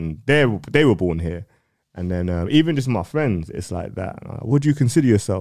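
Speech in a London accent races along at a very fast pace with lively intonation. The recording is very clean, with a silent background. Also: man. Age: 30s. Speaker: music platform owner. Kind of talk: casual interview. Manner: articulate, educated-sounding.

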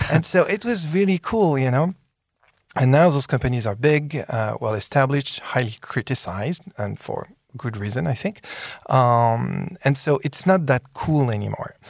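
On a very clean recording with a silent background, a man with a French accent speaks at a moderate pace and medium pitch. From France. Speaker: podcast host and tech innovation executive. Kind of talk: interview. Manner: animated.

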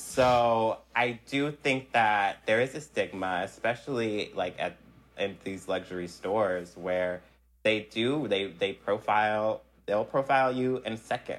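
With an American accent, a man has an unremarkable speaking voice at a medium pitch with ordinary pitch variation. He talks at a fairly slow pace in a very clean recording with a silent background. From US Northeast, South Jersey / Philadelphia area. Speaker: fashion production coordinator and stylist. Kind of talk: interview.

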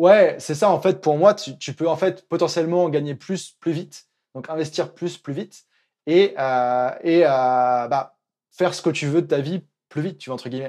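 On a very clean recording with a silent background, the dark, mellow voice moves at a fairly slow pace, showing ordinary pitch variation and big swings in loudness. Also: man, fairly high pitch for a man. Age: 20s. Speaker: freelance coach for digital nomads. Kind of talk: casual interview.

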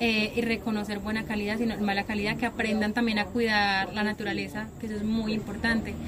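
A woman's fairly high, monotone, flat voice at a very fast pace, with noticeable background noise. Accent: Paisa. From Antioquia, Colombia. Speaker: coffee farm guide. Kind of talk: casual interview. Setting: outdoors on a coffee farm.

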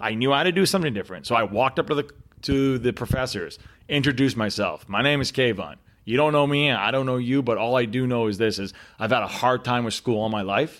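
A man with a Canadian accent talks at a very fast pace in an animated tone, with a medium pitch and ordinary pitch variation. The recording is very clean, with a silent background. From Northern Ontario, Canada. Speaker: sales expert. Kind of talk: casual interview. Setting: his apartment.

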